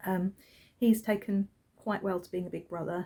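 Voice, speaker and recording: A soft-spoken woman with a British accent has a dark, mellow tone and vocal fry. Her intonation stays fairly even. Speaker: crafting podcaster and yarn dyer. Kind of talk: casual chat. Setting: at home with newborn son. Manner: hesitant, many fillers.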